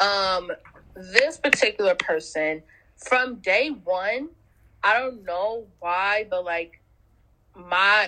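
A woman's very slowly paced voice with an American accent, bright and sharp in tone, at a medium pitch with ordinary pitch variation. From Los Angeles, US. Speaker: podcast co-host. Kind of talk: casual chat. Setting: video call.

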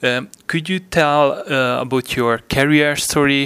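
This man has a Hungarian accent. He speaks at a fairly slow pace with fairly even intonation. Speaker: podcast host. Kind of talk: interview. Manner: halting.

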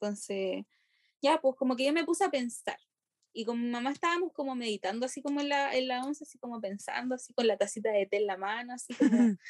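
Very fast speech in a Chilean accent, with lively intonation and big swings in loudness, sounds dry and close with no echo. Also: woman, high pitch for a woman. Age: 20s. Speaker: university student. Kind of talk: casual chat.

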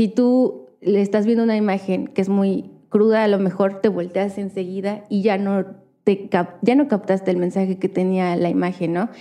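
Her tone is dark and mellow, and the woman's intonation stays fairly even. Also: medium pitch for a woman, moderate pace. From Hidalgo, central Mexico. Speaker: visual artist. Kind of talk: casual interview.

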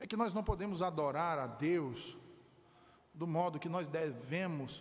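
Amid noticeable background noise, a man speaks fairly slowly at a fairly high pitch. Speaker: preacher. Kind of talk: sermon delivered to a congregation, exhortative pulpit preaching. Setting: church. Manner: earnest, emphatic, fervent, building to firm declarations about salvation.

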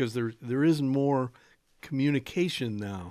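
A man's fairly high voice with a normal speaking voice, at a moderate pace, in a very clean recording with a silent background. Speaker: radio host. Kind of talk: radio talk show. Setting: radio studio.

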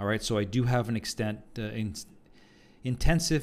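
Ordinary pitch variation marks this man's voice. He speaks at a moderate pace. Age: 50s. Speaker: fitness coach and podcast host. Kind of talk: solo monologue podcast. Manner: animated.

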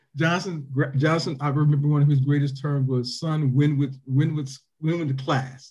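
With an American accent, a man speaks in a somewhat breathy, fairly high-pitched voice with monotone, flat intonation and audible room echo. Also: moderate pace. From Toledo, Ohio. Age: 50s. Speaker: former high school football player. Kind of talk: casual interview.

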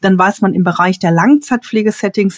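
A somewhat breathy, medium-pitched woman's voice with ordinary pitch variation and a moderate pace, dry and close with no echo. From Ruhr area, Dortmund (Germany). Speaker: elderly care manager and consultant. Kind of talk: podcast interview.

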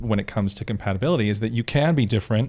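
A man with an American accent talks at a very fast pace, fairly low in pitch, with vocal fry and lively intonation. The recording is very clean, with a silent background. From Florida. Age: 40s. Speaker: podcast guest, professional talker. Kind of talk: casual interview.

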